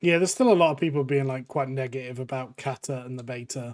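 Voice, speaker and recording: Speaking with an English accent, a man moves at a fairly quick pace with fairly even intonation. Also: dry, close sound with no echo. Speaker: gaming YouTuber. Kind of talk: casual gameplay commentary.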